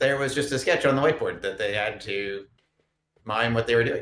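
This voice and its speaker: A man speaks at a fairly quick pace. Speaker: game master. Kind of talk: casual chat. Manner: fast.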